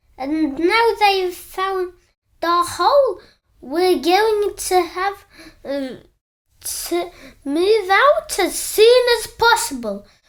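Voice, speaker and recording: In a put-on character voice, the speaker goes at a very slow pace with an extremely high pitch. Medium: read story.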